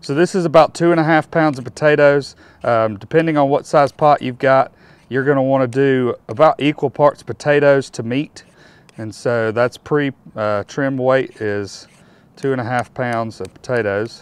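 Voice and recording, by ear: A man talks at a medium pitch and a moderate pace. His tone is clear and smooth, with fairly even intonation.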